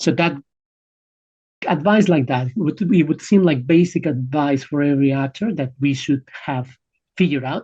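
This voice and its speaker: A man with a Spanish accent speaks at a fairly high pitch and a moderate pace, his somewhat breathy, dark, mellow tone showing ordinary pitch variation, with long, frequent pauses. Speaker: film actor. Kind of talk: interview. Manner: halting, with fillers and repetitions.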